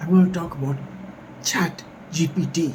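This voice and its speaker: A man whispers, with audible room echo around him. Noticeable background noise is present. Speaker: academic vlogger. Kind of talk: casual commentary. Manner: whispering.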